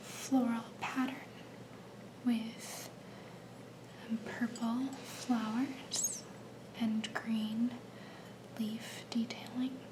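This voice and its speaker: At a very slow pace, the speaker uses a gentle tone and monotone, flat intonation, with long, frequent pauses over noticeable background noise. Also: woman, fairly high pitch for a woman. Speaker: ASMR creator. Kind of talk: ASMR soft-spoken show-and-tell. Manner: soft-spoken, slow, gentle.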